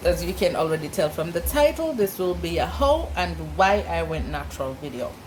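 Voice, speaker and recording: A woman with a Jamaican accent at a moderate pace, against noticeable background noise. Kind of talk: casual talk to camera.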